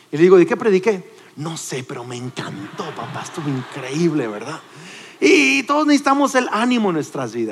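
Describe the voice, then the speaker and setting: A man's very fast, animated delivery, high in pitch with very wide pitch swings, over noticeable background noise. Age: 40s. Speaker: pastor. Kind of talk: sermon.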